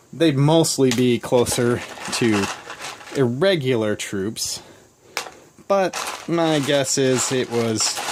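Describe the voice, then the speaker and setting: The pace is very slow, with long, frequent pauses. Noticeable background noise runs underneath. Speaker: board game hobbyist. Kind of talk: casual unboxing talk to camera. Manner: hesitant, stammering.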